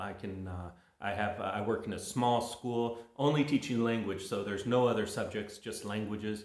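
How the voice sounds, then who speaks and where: In a room with audible echo, a man speaks at a medium pitch and moderate pace, his intonation fairly even. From California. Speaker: English teacher. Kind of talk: casual monologue to viewers. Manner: casual, halting with many fillers.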